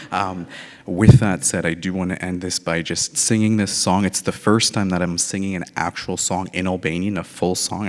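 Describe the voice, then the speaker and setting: In a very deep, low voice, a man speaks at a moderate pace with monotone, flat intonation. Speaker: emergency department manager. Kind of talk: speech at gala. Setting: gala with audience.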